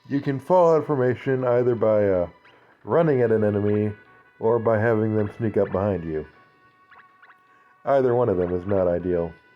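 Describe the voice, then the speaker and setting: A man talks at a moderate pace with a fairly low pitch, leaving long, frequent pauses. Music plays in the background. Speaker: let's play gamer. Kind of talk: casual gameplay commentary.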